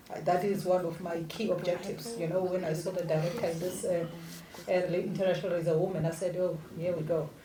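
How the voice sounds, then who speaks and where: Over noticeable background noise and audible room echo, a woman talks at a very fast pace. Her fairly low voice keeps a monotone, flat intonation. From South Africa. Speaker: diplomat, former member of parliament. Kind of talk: panel discussion opening statement.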